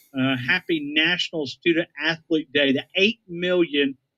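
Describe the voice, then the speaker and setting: A dry, close sound with no echo carries a bright, sharp tone. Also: man. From North Alabama. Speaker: sports radio co-host. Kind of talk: sports talk radio chat.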